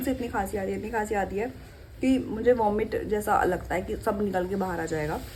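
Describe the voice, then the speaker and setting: A woman keeps a moderate pace and ordinary pitch variation while noticeable background noise and audible room echo fill the recording. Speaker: vlogger. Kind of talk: casual vlog chat. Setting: at home.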